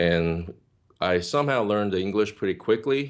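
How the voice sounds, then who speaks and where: This man talks with a Korean accent and ordinary pitch variation. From South Korea, moved to California at nine. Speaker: worship ministry leader. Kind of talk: interview testimony. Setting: video call.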